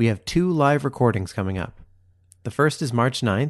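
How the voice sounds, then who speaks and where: A man with an ordinary speaking voice, lively intonation and a moderate pace, against a quiet background. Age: 30s. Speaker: podcast host. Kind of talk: casual chat.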